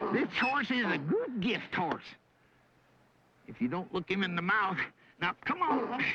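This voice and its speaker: In a drawling, put-on character voice with fairly high pitch, the speaker keeps a moderate pace broken by long, frequent pauses. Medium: short film. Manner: folksy drawling backwoods talk.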